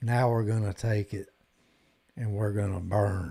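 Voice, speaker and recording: In a Southern US accent, a man talks with a fairly low pitch and fairly even intonation. His tone is dark and mellow, and somewhat breathy. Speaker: guitar live streamer. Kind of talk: casual live stream chat.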